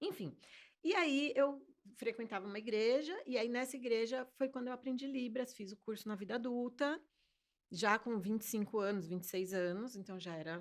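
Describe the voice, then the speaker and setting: Using an unremarkable speaking voice, a woman talks at a moderate pace with lively intonation and a fairly high pitch. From Brazil, Fortaleza (early childhood abroad). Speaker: sign language interpreter. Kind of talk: interview.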